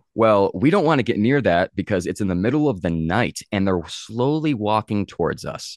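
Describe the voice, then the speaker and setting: Fairly quick speech with an American accent. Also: man. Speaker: paranormal investigator and author. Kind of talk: casual interview chat, storytelling. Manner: halting, filler words.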